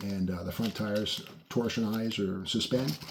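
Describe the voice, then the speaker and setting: Noticeable background noise behind a fairly low-pitched male voice. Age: 60s. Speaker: car and model-kit video host. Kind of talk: casual show-and-tell video. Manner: casual, with frequent fillers.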